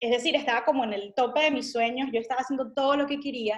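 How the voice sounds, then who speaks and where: A woman with a Venezuelan accent and fairly even intonation. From Venezuela, Caracas. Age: 30s. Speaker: missionary and lawyer. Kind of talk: interview testimony.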